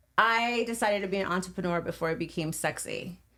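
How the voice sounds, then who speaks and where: Ordinary pitch variation marks a plain, everyday voice heard on a very clean recording with a silent background. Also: woman. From Venice, California. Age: 40s. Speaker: podcast co-host, real estate agent. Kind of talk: casual interview chat.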